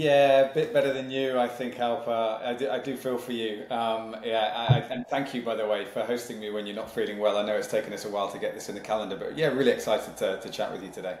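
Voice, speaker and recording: A man with a British accent at a very fast pace, hardly any pauses, noticeable background noise behind him. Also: medium pitch for a man, fairly even intonation. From Malaysia and Singapore, then UK from age eight. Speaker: sales leadership consultant and company founder. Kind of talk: podcast interview.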